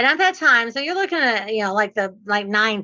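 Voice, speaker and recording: The tone is bright and sharp, the intonation lively, and the background quiet. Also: woman. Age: 60s. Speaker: real estate investor and trainer. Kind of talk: podcast interview.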